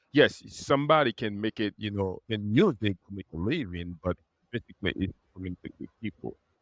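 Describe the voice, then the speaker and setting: A man's fairly low voice with a Haitian accent, ordinary pitch variation and a fairly quick pace, in a very clean, dry, close recording with no echo and a silent background. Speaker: attorney. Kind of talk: podcast interview answer.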